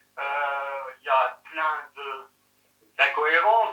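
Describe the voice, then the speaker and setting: A man speaks with a Franc-Comtois accent. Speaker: eyewitness of a UFO. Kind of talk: interview testimony. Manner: casual, halting. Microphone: poor audio in this testimony.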